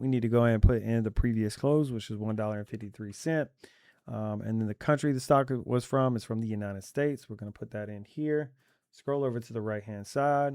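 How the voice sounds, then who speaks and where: The background is silent and the recording very clean. A man's voice sits at a medium pitch. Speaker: stock trading educator. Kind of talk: screen-share tutorial. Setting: at a computer. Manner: fast.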